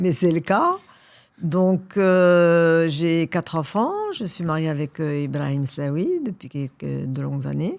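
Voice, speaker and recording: A woman speaks very slowly. Her pitch sits fairly low. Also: ordinary pitch variation. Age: 60s. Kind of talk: podcast interview. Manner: hesitant, many fillers.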